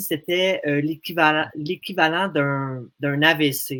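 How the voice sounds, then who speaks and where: This man's pitch is fairly high, with ordinary variation. He speaks at a very slow pace. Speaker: association representative with a language disorder. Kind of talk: radio interview. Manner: halting, many hesitations.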